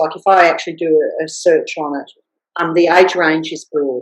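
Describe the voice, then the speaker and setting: This woman has an Australian accent. She talks at a fairly slow speed. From Australia, rural Victoria. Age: 60s. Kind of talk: interview. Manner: halting with many fillers and restarts.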